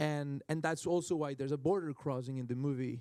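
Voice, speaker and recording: In a Spanish accent, a man talks at a fairly high pitch with ordinary pitch variation and a dark, mellow tone. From Colombia. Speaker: film director. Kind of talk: panel Q&A. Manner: halting, many repetitions.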